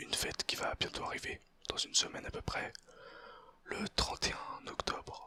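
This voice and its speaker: Someone whispers at a fairly slow pace with noticeable background noise behind them. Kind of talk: ASMR whispered educational talk. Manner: whispered, soft-spoken.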